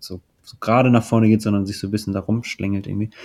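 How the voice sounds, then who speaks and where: On a very clean recording with a silent background, a man with a fairly low pitch speaks in a dark, mellow tone with fairly even intonation. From Hunsrück, Germany. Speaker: musician. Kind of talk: casual chat.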